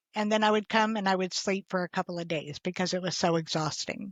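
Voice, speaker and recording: A woman talks at a very fast pace with fairly even intonation. Her pitch is medium. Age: 60s. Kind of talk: interview answer.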